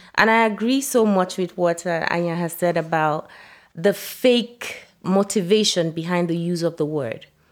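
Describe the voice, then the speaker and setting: In a very clean recording with a silent background, a woman talks at a moderate pace in a normal speaking voice, her pitch fairly low with ordinary variation. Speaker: guest discussing book chapter. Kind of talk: casual conversation.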